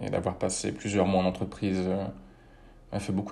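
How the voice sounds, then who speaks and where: This man's very deep, low voice has a dark, mellow tone and vocal fry, delivered in a monotone, flat intonation at a fairly quick pace. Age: 30s. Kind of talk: personal testimony. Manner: measured, with frequent hesitations.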